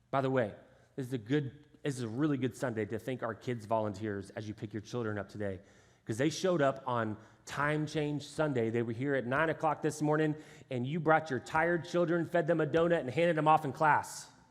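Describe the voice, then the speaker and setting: Speaking fairly quickly in an animated tone, a man with a Texan accent comes through on a very clean recording with a silent background. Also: medium pitch for a man, ordinary pitch variation. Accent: Texan American English. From Texas, Houston area. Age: 30s. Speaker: pastor. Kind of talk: sermon. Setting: church stage with congregation. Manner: animated, conversational.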